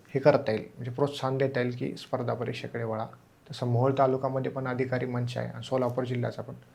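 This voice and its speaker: This man's voice sits at a medium pitch, somewhat breathy, with a monotone, flat intonation. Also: big swings in loudness. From Maharashtra, Solapur district (Mohol taluka). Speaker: civil service exam topper, deputy collector. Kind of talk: interview.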